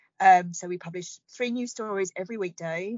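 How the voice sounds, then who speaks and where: This is a plain, everyday voice. It moves at a moderate pace with fairly even intonation. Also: woman. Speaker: innovation platform content director. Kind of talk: interview.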